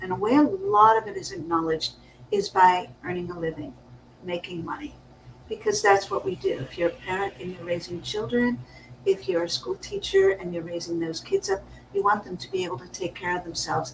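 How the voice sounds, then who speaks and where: A woman's medium-pitched voice, a plain, everyday voice with ordinary pitch variation and big swings in loudness. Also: fairly quick pace. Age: 60s. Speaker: business coach. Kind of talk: casual chat.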